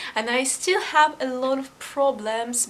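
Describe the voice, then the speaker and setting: A woman's high voice with a non-native accent, very slow, with ordinary pitch variation. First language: not English. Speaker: YouTuber. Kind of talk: casual vlog. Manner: halting.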